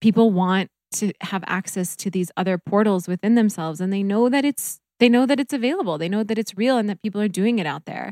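Very fast and at medium pitch, a woman with an American accent and a dark, mellow tone is heard in a dry, close recording with no echo. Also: ordinary pitch variation, very clean recording, silent background. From US Midwest (North Dakota). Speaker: reiki practitioner. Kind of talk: casual chat; guided meditation.

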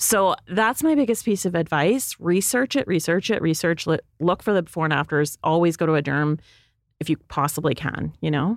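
A woman with a Canadian accent and a normal speaking voice, fairly low in pitch, with lively intonation, moderate pace, and very even loudness, on a very clean recording with a silent background and a dry, close sound with no echo. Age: 40s. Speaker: beauty editor and podcast co-host. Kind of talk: casual chat. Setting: studio.

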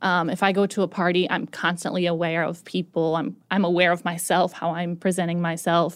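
A woman speaks at a fairly quick pace with hardly any pauses, her pitch fairly low. Her intonation is monotone and flat, on a very clean recording with a silent background. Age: 30s. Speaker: podcast network manager. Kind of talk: casual chat.

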